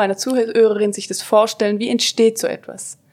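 The speaker is a woman whose voice sits fairly high in pitch. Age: 30s. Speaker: podcast host and consultant. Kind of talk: interview.

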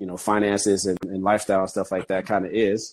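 Against a quiet background, a man talks at a moderate pace in a plain, everyday voice with a fairly low pitch. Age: 40s. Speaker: construction project manager. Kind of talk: casual chat.

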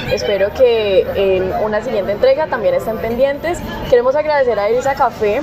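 Fairly quick speech with ordinary pitch variation, audible room echo and crowd noise in the background. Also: woman. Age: 20s. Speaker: podcast host. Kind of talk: casual interview. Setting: outdoor café terrace.

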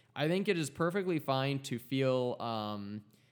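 A man's ordinary speaking voice at medium pitch, with lively intonation. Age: 20s. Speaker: podcast host. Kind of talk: casual chat.

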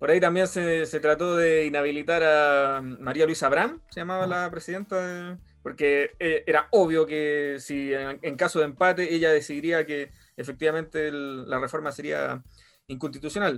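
A man's fairly high voice with a Chilean accent and fairly even intonation. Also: moderate pace. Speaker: podcast host. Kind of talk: casual chat.

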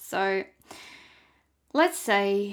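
A woman's voice sits at a medium pitch. The recording is very clean against a silent background. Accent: Australian. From Tasmania, Australia. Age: 30s. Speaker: podcast host. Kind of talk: solo monologue.

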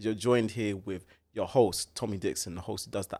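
A man talks in a plain, everyday voice at a medium pitch, with ordinary pitch variation. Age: 20s. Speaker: podcast host. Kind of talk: casual chat. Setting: studio.

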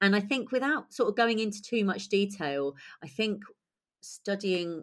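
In a British accent, a woman speaks at a fairly slow pace with ordinary pitch variation. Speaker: playwright and director. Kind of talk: interview conversation.

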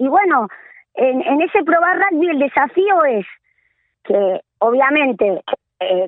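Her pitch swings very widely as a woman talks at a very slow pace. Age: 40s. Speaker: women's rugby coordinator. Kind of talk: interview. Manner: animated.

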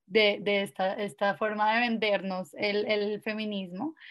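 A woman is speaking. She goes at a fairly slow pace. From Colombia, Villavicencio. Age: 20s. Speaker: lawyer and feminist activist. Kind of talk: casual interview chat. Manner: hesitant, repeats words.

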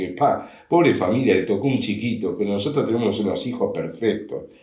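A man is speaking. Room echo can be heard in the recording. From Uruguay, Montevideo. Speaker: father of the host. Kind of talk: casual chat.

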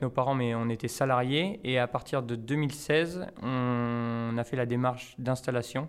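A man has a plain, everyday voice at medium pitch. He talks at a fairly slow pace with fairly even intonation and hardly any pauses. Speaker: winegrower. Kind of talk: interview. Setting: tasting cellar at the estate.

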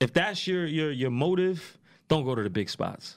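At a moderate pace, a man with a New York accent speaks in a fairly high pitch, recorded very cleanly against a silent background. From New York, Queens. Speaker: strip club promoter. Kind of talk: casual chat.

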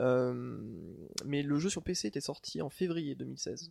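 Recorded very cleanly with a silent background, a man's voice comes through in a dry, close sound with no echo. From France, moved around (Corsica, Corrèze, Toulouse). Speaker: author. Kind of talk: casual chat.

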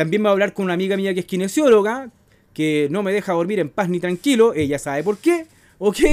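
A man with a Chilean accent speaks at a fairly quick pace in a high voice, his tone animated and his intonation lively, on a very clean recording with a silent background. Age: 40s. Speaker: podcast host. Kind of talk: casual chat. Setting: home kitchen.

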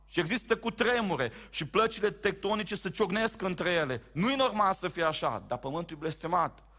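A man's raised, projected voice, high-pitched with a bright, sharp tone, animated and lively in intonation, at a moderate pace with hardly any pauses, on a very clean recording with a silent background. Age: 30s. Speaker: pastor. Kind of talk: sermon. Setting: church.

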